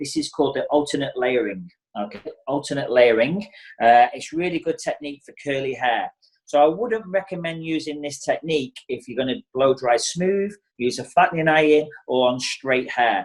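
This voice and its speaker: Lively intonation and big swings in loudness mark this man's fairly high voice, delivered at a moderate pace. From England. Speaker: hairdresser and educator. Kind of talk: tutorial. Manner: casual, filler-heavy.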